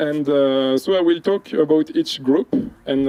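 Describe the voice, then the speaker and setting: A man speaks with a French accent and a fairly high pitch. His intonation stays fairly even. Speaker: entomology researcher. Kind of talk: field presentation. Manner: hesitant, many fillers.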